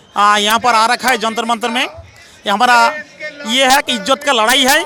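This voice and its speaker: A man speaks in a raised, projected voice at an extremely high pitch, keeping his intonation fairly even. His pace is moderate, with noticeable background noise behind him. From West Bengal, India. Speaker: retired paramilitary personnel, protester. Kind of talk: street interview. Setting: outdoors at protest site.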